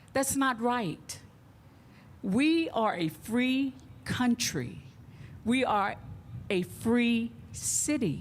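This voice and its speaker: A woman with an American accent and fairly high pitch speaks very slowly with lively intonation, very even loudness, and long, frequent pauses. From Texas, Dallas. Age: 70s. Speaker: community activist. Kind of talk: speech at a press conference.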